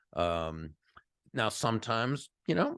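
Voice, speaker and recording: Vocal fry from a man, the sound dry and close with no echo, against a quiet background. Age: 60s. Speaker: author and sales trainer. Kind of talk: podcast interview. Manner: halting, many fillers.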